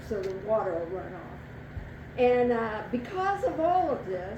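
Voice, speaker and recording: Her high-pitched voice moves in very wide pitch swings. The woman is heard with audible room echo and noticeable background noise. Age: 70s. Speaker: storyteller. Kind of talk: live storytelling. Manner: animated.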